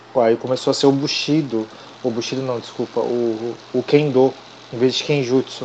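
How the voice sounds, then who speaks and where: A man at medium pitch with monotone, flat intonation and a moderate pace, amid noticeable background noise. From Brazil. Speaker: podcast guest. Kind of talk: casual chat.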